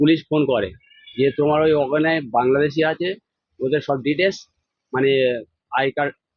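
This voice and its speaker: A man talks in a fairly high voice with fairly even intonation. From South 24 Parganas, West Bengal, India. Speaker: father of a migrant worker. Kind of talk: interview testimony. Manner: halting.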